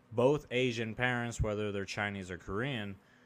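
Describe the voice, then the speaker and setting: Over music in the background, a man with an American accent talks at a moderate pace. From US West Coast, rural Oregon. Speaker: podcast co-host. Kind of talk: casual chat.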